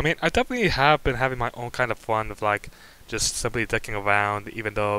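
Recorded with a dry sound and no echo, a man speaks. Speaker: channel host. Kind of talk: casual vlog chat. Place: home room.

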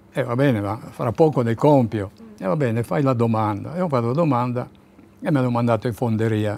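Very fast and in a dark, mellow tone, a man talks with ordinary pitch variation. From Zadar, Dalmatia (Italian-speaking community); Dalmatia. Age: 80s+. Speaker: war refugee witness; witness. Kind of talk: oral history interview. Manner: halting.

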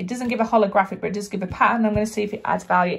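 A woman speaks in a somewhat breathy voice with ordinary pitch variation against a quiet background. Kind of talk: tutorial. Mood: upbeat, hopeful. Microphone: phone near.

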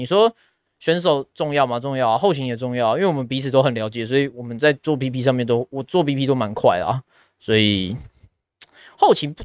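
A man at a fairly quick pace with ordinary pitch variation, the sound dry with no echo and the background quiet. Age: 20s. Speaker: esports caster and podcast host; podcast host. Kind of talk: casual chat. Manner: supported diaphragm voice, steady. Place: studio. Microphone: studio mic.

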